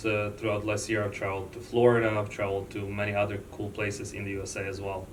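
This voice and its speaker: A man with a non-native accent and a fairly low pitch, very fast and nearly pauseless, monotone and flat, with audible room echo. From born outside the US. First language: not English. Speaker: loan officer. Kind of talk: interview.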